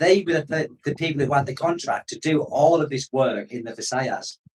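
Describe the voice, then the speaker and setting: The speaker is a man with a northeast English accent. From northeast England. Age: 50s. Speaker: expat vlogger. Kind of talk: live stream chat. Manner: casual, rambling.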